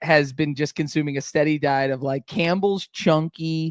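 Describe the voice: A man with an American accent speaks in a loud, booming voice at a fairly high pitch with fairly even intonation. The sound is dry and close, with no echo. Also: moderate pace.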